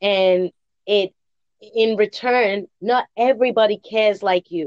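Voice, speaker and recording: An animated woman's voice at medium pitch, dry and close with no echo. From England. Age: 40s. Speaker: podcast host interviewing guest. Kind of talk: interview conversation.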